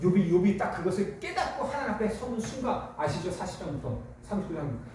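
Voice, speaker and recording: There is noticeable background noise and audible room echo around a man's voice. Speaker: pastor. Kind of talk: sermon. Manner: fast.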